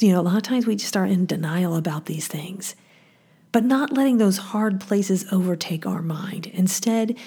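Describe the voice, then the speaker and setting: Over noticeable background noise, the talking proceeds at a moderate speed. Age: 50s. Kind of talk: devotional teaching.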